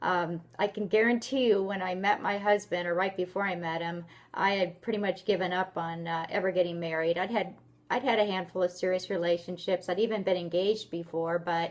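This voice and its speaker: A woman's normal speaking voice at medium pitch, fairly quick in pace, in a very clean recording with a silent background. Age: 50s. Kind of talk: casual talk to camera. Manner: upbeat.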